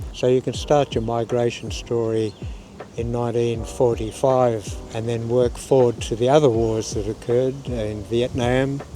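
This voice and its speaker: With an Australian accent, a man speaks at a moderate pace and with fairly even intonation over noticeable background noise. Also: medium pitch for a man. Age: 80s+. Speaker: interviewee. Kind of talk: interview.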